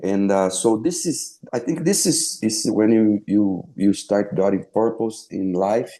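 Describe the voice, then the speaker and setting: Against a quiet background, a man with a Brazilian Portuguese accent speaks fairly slowly at a fairly low pitch, with lively intonation, a dark, mellow tone and hardly any pauses. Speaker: former pro footballer and sports broadcaster. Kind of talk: interview. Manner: halting, many fillers and repeats.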